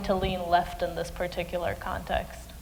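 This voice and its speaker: There is noticeable background noise and audible room echo as a woman talks at a fairly quick pace. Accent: Romanian. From Romania. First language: Romanian. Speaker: panel moderator, student. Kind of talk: panel discussion. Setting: stage with audience.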